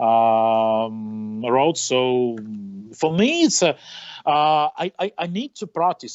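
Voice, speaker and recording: Very wide pitch swings run through this voice, which has a non-native accent. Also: man. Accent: non-native English, noted by himself. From western Ukraine. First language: Ukrainian or Russian. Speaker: racing driver. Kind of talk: interview. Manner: halting, many fillers.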